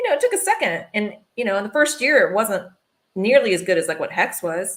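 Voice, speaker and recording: Speaking at a fairly quick pace, a woman has a Southern US accent. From US South, Alabama. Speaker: fashion and marketing specialist. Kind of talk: casual livestream chat.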